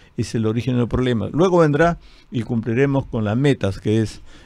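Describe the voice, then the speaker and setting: A man's voice with a dark, mellow tone. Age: 70s. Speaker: party leader, politician. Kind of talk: TV/radio interview.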